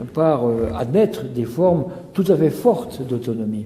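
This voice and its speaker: Audible room echo and noticeable background noise surround speech at a fairly slow pace with very wide pitch swings. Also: man. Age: 70s. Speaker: author. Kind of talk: interview. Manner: hesitant, many fillers.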